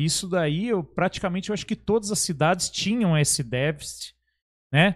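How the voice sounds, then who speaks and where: Speech moves at a moderate pace on a very clean recording with a silent background. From Brazil, São Paulo state interior (Caçapava). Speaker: podcast host. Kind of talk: casual chat.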